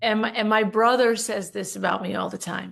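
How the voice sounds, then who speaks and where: A woman's fairly high voice with ordinary pitch variation, a normal speaking voice. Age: 60s. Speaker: leadership coach and business owner. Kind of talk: podcast interview.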